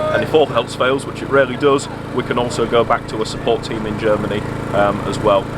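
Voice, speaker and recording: Amid noticeable background noise, a man with a strong Yorkshire accent talks very fast at a medium pitch, his intonation fairly even. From Yorkshire, England. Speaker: farm machinery company after-sales manager. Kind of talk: interview at outdoor trade demonstration. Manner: halting, many fillers and repetitions.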